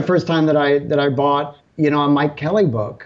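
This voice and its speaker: A man with an American accent speaks in a fairly high pitch. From rural Pennsylvania, US. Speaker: artist; guest. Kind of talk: panel discussion. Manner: halting. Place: home room. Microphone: video call.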